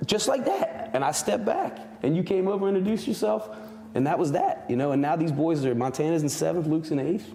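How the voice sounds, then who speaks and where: A man's lively intonation and fairly quick pace come through noticeable background noise. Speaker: school principal and parent. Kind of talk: casual chat. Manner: halting, many repeated words.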